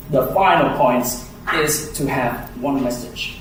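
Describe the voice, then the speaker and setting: Through audible room echo and noticeable background noise, a man speaks at a fairly high pitch with ordinary pitch variation. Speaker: speech evaluator. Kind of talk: speech evaluation. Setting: club meeting room with audience. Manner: slow, deliberate.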